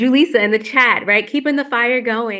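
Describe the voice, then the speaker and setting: A woman's fairly high, bright, sharp voice at a fairly quick pace, against a quiet background. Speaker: moderator of virtual community gathering. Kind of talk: panel moderation. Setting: video call. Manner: fast.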